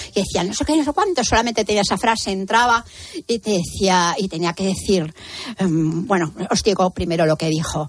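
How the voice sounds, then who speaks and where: This woman has an ordinary speaking voice, medium in pitch with ordinary pitch variation. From Madrid, Spain. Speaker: radio panel contributor. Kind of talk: casual chat.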